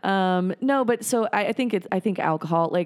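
An unremarkable speaking voice from a woman, dry and close with no echo, on a very clean recording with a silent background. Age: 30s. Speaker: stand-up comedian. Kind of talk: casual chat. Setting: home garage studio.

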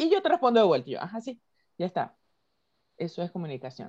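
Her voice is fairly high, with vocal fry and very wide pitch swings. The woman is recorded with a dry, close sound and no echo. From Venezuela. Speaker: podcast co-host. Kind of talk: casual chat. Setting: video call.

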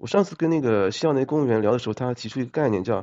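A man's pitch swings very widely. His pace stays moderate. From China. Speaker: accountant, former civil servant. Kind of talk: casual chat.

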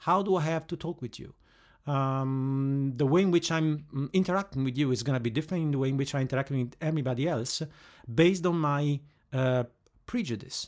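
A man with an Italian accent, fairly high-pitched, at a fairly quick pace and with ordinary pitch variation. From Italy. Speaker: head of training operations. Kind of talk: interview. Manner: hesitant, with fillers.

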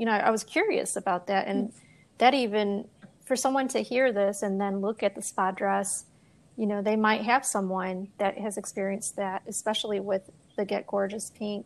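Over a quiet background, a woman with an unremarkable speaking voice talks at a medium pitch and moderate pace, with fairly even intonation. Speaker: podcast host. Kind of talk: interview.

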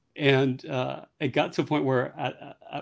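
A man with an American accent speaks at medium pitch and a fairly slow pace. The background is quiet. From New York City, the Bronx. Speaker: interior designer. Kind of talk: interview. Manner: hesitant, many fillers.

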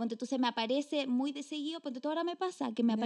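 A high-pitched woman with a Chilean accent, very fast pace and lively intonation, over noticeable background noise. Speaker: podcast co-host. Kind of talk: casual chat.

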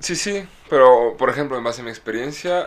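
The speaker has a Mexican accent and lively intonation. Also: man. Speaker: podcast co-host. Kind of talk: casual chat.

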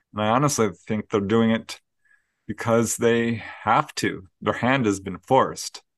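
A man's ordinary speaking voice at medium pitch, fairly slow in pace with fairly even intonation, in a dry, close sound with no echo and a quiet background. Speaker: paranormal researcher and author. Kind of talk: interview.

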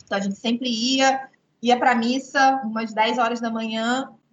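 At a moderate pace, a woman with a fairly high pitch talks in a monotone, flat intonation. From Rio de Janeiro, Baixada Fluminense (Brazil). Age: 30s. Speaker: writer. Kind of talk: online talk to students. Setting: video call.

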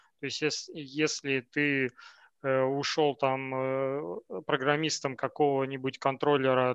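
A man's medium-pitched voice in a monotone, flat intonation, with a dry, close sound, no echo and a quiet background. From Siberia, Novokuznetsk. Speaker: software engineer. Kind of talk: casual chat.

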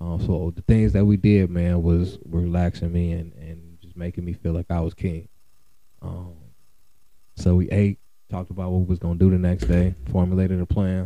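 A man's very deep, low voice, dark and mellow in tone, with fairly even intonation, big swings in loudness and a moderate pace. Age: 30s. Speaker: podcast host. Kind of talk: casual chat.

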